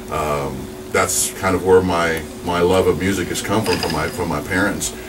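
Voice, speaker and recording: There is audible room echo and noticeable background noise. A man speaks at a moderate pace with a very deep, low pitch. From New Mexico (Alamogordo). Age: 40s. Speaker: radio DJ. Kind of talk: casual interview.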